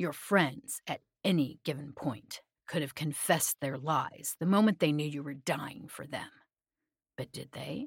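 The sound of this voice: In a put-on character voice, a woman speaks low and fairly slowly with a husky, rough edge and vocal fry, her pitch varying in an ordinary way over a very clean recording with a silent background.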